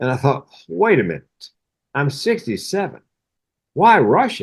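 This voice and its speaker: With a fairly high pitch and very wide pitch swings, a man speaks at a fairly slow pace. Vocal fry runs through his voice. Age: 60s. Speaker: mental health comedian. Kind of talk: casual chat.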